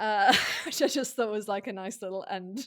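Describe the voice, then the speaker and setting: A woman with a British accent speaks at a moderate pace with lively intonation on a very clean recording with a silent background. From UK. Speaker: podcast co-host. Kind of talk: casual chat.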